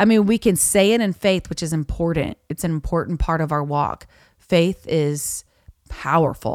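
A woman's fairly low voice in a Southern US accent, with ordinary pitch variation, a moderate pace and a dry, close sound with no echo. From US South, Florida Panhandle (Niceville). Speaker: worship leader and country singer-songwriter. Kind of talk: casual interview chat.

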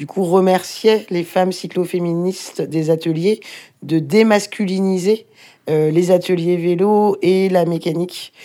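A woman speaks at a medium pitch. Her pace is very slow and her intonation fairly even. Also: very clean recording, silent background. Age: 30s. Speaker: volunteer bike repair workshop organizer. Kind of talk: casual interview and workshop tour.

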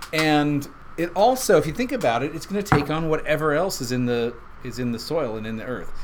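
A man with a fairly high pitch and lively intonation, over noticeable background noise. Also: fairly quick pace. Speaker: whiskey podcast host. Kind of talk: casual chat.

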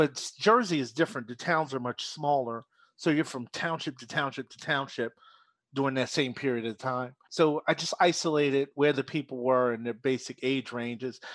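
A man with an American accent has a plain, everyday voice at medium pitch, with ordinary pitch variation and a moderate pace. The sound is dry and close with no echo, over a quiet background. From Philadelphia, US. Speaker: business coach. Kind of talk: casual interview.

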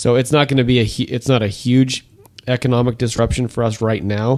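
This is an ordinary speaking voice from a man. He talks at a moderate pace with fairly even intonation. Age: 40s. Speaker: financial advisor. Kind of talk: casual chat.

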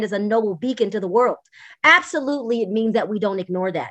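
Here is a woman with a fairly high pitch and a normal speaking voice. Her pitch varies in an ordinary way over a quiet background. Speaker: podcast co-host. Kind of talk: panel discussion on politics. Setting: video call.

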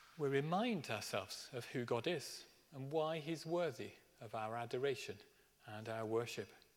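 There is audible room echo as a man with a fairly high pitch talks at a moderate pace with lively intonation. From Birmingham, England. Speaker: minister. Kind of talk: sermon. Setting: church.

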